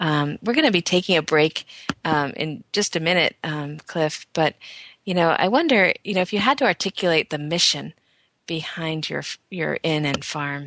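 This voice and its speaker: Against a quiet background with a dry, close sound and no echo, a woman with an unremarkable speaking voice talks at a moderate pace, her fairly low pitch varying in an ordinary way. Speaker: radio host. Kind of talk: radio interview. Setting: radio show.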